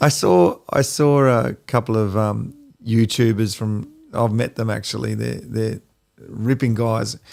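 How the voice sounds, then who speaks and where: With an Australian accent, a man speaks at a fairly slow pace. His intonation is fairly even, and the recording is very clean with a silent background. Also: medium pitch for a man. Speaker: podcast co-host. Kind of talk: casual chat.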